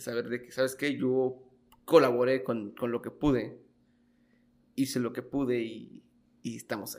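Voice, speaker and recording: This man speaks at a medium pitch and a moderate pace, with ordinary pitch variation. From Mexico, Michoacán (Los Reyes). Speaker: podcast host. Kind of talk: interview. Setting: guest's office.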